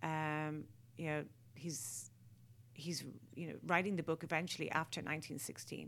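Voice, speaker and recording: With an Irish accent, a woman speaks at a very deep, low pitch with vocal fry. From Ireland. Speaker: artist. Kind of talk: interview. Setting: radio studio.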